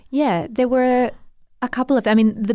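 A woman with an Australian accent talks on a very clean recording where the background is silent. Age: 40s. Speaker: novelist. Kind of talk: interview.

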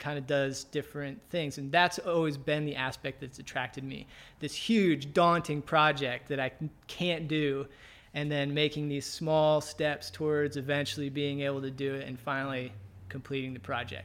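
In an ordinary speaking voice, a man talks at a moderate pace with fairly high pitch and fairly even intonation. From US, Virginia (Navy family, moved around). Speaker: climber and van outfitting business owner. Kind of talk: casual interview. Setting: climbing gym / his shop.

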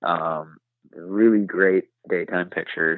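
Very deep, low male voice with a Wisconsin accent. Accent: Upper Midwest (Wisconsin). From southwest Wisconsin, Richland County. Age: 20s. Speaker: bowhunter reviewing gear. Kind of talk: casual interview. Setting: phone call.

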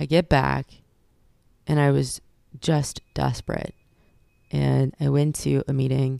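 A woman's voice with a Californian accent. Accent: Californian American. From California, Fresno. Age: 30s. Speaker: actress in addiction recovery. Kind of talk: personal testimony interview. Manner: halting, with frequent fillers.

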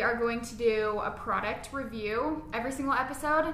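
A woman speaks in a high pitch with an American accent and fairly even intonation. Room echo is audible, and background noise is noticeable. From Las Vegas, Nevada. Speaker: esthetician and podcast co-host. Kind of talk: casual chat.

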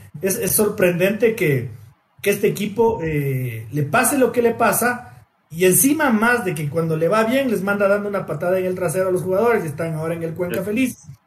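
A man talks at a high pitch with lively intonation and a fairly quick pace. Audible room echo surrounds the voice. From Ecuador, Quito highlands. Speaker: football podcast host. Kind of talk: casual chat.

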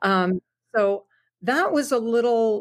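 In a very clean recording with a silent background, a woman speaks with ordinary pitch variation and a slight Canadian accent. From Southwestern Ontario, Canada. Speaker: country singer and radio host. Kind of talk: interview.

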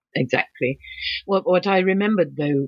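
A woman with an English accent talks with ordinary pitch variation in a dry, close sound with no echo. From England. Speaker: author and painter. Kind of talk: interview. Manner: halting.

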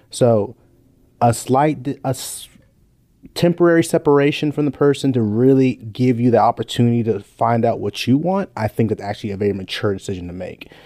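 Talking at a fairly quick pace with an American accent, a man uses lively intonation, a medium pitch, and a dark, mellow tone. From Los Angeles, California. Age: 20s. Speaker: medical student. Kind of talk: casual chat. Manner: animated.

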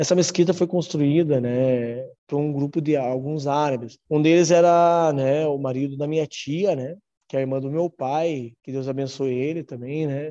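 A man's fairly high voice with a dark, mellow tone, fairly even in intonation, at a moderate pace. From Brazil, Ponta Grossa, Paraná. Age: 30s. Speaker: mosque president. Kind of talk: interview. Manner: halting.

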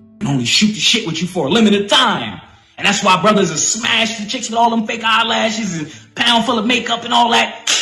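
Amid noticeable background noise and audible room echo, a man uses a raised, projected voice, high in pitch and animated in tone, at a fairly quick pace with ordinary pitch variation. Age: 30s. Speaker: spiritual podcast host. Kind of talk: live-streamed motivational monologue. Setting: Facebook live video.

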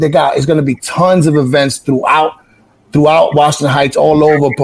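A man with a New York accent speaks at a fairly quick pace, his fairly high voice somewhat breathy. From New York City, the Bronx / Highbridge. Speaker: website founder. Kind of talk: interview.

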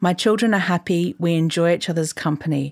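The recording is very clean against a silent background. A woman with an Australian accent speaks at a fairly low pitch with ordinary pitch variation. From Queensland, Australia. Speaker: journalist and writer. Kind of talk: reading aloud own article.

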